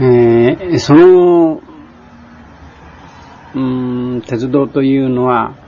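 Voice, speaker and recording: A man is talking while noticeable background noise plays behind him. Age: 60s. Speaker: war veteran, former Siberian internee. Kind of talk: casual spoken reminiscence. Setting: home or shop recording on cassette tape. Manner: sometimes sleepy, sometimes cheerful.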